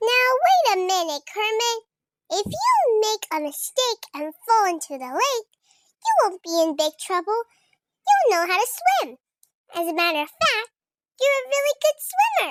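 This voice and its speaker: In a squeaky, put-on character voice, a woman speaks at an extremely high pitch. Her pitch swings very widely, and her pace is moderate. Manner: encouraging.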